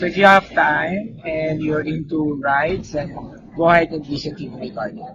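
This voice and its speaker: Against noticeable background noise, a man with a fairly high pitch talks at a moderate pace. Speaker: travel vlogger. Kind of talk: travel vlog narration. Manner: casual, hesitant with fillers.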